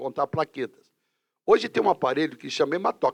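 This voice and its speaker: A man speaks fairly quickly with lively intonation in a normal speaking voice. The sound is dry and close with no echo, over a quiet background. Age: 60s. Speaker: teacher and career counselor. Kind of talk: casual interview chat.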